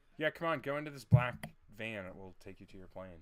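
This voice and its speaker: A man speaks very fast with lively intonation while music plays in the background. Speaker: UX designer podcast co-host. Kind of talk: casual chat. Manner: loud. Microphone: very close to the mic.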